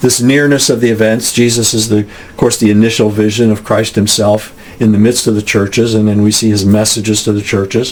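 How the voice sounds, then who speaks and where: A man with a fairly low pitch speaks in a flat monotone at a fairly quick pace, with hardly any pauses. His loudness stays very even over noticeable background noise. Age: 70s. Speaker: podcast host and author. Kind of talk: bible study teaching. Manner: halting, many fillers and restarts.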